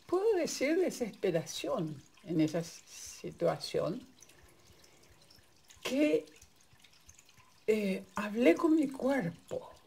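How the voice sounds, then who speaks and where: This woman talks with a Paraguayan accent, her pitch swinging very widely. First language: Guarani (speaking Spanish). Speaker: migrant sharing personal experience. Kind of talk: personal testimony. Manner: halting.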